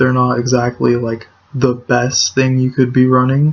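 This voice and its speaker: A quiet man at a medium pitch and fairly slow pace, with noticeable background noise. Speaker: gaming YouTuber. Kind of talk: gameplay commentary. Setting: at home at night. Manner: quiet, hushed.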